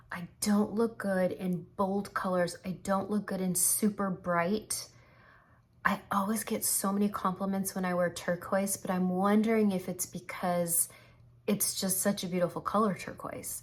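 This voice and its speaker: A somewhat breathy woman speaks at a medium pitch and a fairly slow pace. Her intonation is monotone and flat. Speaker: makeup tutorial creator. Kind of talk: makeup tutorial.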